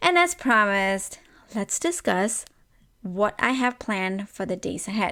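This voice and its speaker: A woman with a non-native accent speaks fairly slowly in a bright, sharp tone. Her intonation is lively, and the recording is very clean with a silent background. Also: medium pitch for a woman. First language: not English. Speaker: podcast host. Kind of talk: podcast monologue. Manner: animated.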